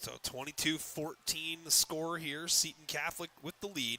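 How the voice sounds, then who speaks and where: The man speaks at a fairly slow pace. His fairly high voice has a bright, sharp tone. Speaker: sports play-by-play announcer. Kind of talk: live commentary. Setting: media room at a high school stadium. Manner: loud. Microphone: echo from enclosed room.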